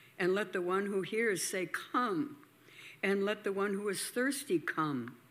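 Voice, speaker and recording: In a very clean recording with a silent background, a woman with an unremarkable speaking voice talks fairly slowly at a medium pitch, her intonation lively. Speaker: scripture reader. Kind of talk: reading aloud.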